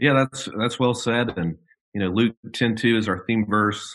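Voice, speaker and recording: An unremarkable speaking voice belongs to a man who talks at a moderate pace in an American accent with fairly even intonation. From Birmingham, Alabama (US South). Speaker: theology professor and pastor. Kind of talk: casual interview conversation.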